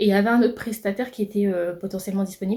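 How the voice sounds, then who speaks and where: A woman's medium-pitched, somewhat breathy voice with a dark, mellow tone runs at a very fast pace. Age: 20s. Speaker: entrepreneur vlogger. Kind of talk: vlog monologue. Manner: hesitant fillers.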